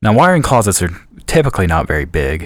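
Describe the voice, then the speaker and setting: In a very clean recording with a silent background, a man races along at a very fast pace. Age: 20s. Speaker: IT professional, former student. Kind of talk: interview.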